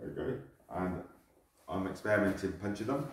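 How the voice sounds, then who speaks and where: A somewhat breathy man talks at a fairly quick pace, with audible room echo and a quiet background. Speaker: martial arts instructor. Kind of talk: tutorial. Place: gym.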